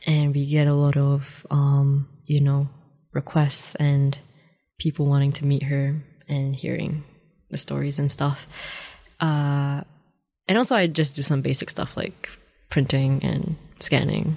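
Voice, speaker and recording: In a very clean recording with a silent background, a woman with a very deep, low pitch and a dark, mellow tone speaks fairly slowly and somewhat breathily, flat and monotone, with long, frequent pauses. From New Zealand (Dunedin), born in Malaysia. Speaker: law student. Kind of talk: radio interview.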